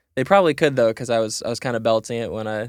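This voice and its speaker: This is a man speaking with an American accent. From US Midwest, Chicago area. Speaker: singer-songwriter. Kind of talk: casual interview chat. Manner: animated, repeats words with false starts.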